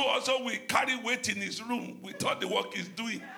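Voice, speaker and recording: A man's raised, projected voice at extremely high pitch, with noticeable background noise. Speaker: pastor. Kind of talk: sermon. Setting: church.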